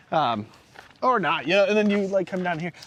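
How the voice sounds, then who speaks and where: Noticeable background noise sits under the recording. Over it, a man talks. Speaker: RV vlogger. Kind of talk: casual chat. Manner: loud; animated.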